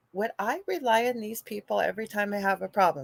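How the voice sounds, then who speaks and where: There is no echo at all on this woman's voice, which sounds dry and close. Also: very clean recording, silent background. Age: 50s. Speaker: radio show host and psychic medium. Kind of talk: casual interview chat. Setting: live radio.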